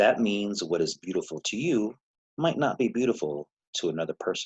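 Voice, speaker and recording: The speech moves at a fairly quick pace in a dry, close sound with no echo. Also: man. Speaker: music teacher. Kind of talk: lecture. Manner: hesitant fillers.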